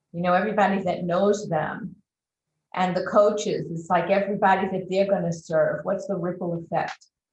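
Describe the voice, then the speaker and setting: A woman talks at a moderate pace with a medium pitch and a somewhat breathy sound. Her intonation is monotone and flat. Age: 60s. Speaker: transformational coach. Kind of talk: interview.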